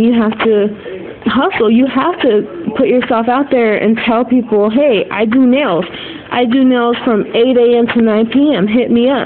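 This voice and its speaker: A woman speaks at a fairly slow pace with a fairly high pitch. Her pitch variation is ordinary, and background noise is noticeable. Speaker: nail technician and beauty vlogger. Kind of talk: casual tutorial. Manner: casual, filler-heavy.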